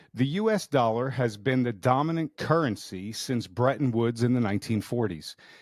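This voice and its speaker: A man with an unremarkable speaking voice uses a medium pitch and ordinary pitch variation at a moderate pace, captured on a very clean recording with a silent background. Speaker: podcast host. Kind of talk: podcast intro.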